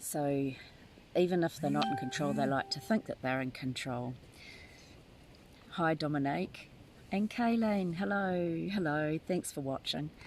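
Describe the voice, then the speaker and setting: A fairly slow delivery in a New Zealand accent, broken by long, frequent pauses. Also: woman, very deep, low pitch for a woman, lively intonation. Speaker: tarot reader. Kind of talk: live stream chat. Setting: live video from a tent. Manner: halting.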